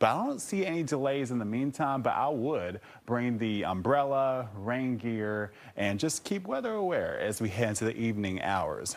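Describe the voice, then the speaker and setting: An ordinary speaking voice with an American accent and lively intonation. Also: man, medium pitch for a man, moderate pace. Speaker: meteorologist. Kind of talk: TV weather forecast. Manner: upbeat, warm.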